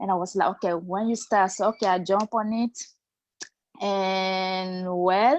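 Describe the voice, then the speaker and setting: A woman with a non-native accent speaks fairly slowly at a medium pitch against a quiet background. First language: not English. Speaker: program member. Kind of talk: testimony.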